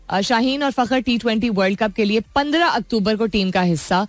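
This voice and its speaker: A woman speaks with music in the background. The sound is dry and close, with no echo. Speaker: radio host. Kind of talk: radio morning show chat. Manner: chatty, code-switching Urdu and English.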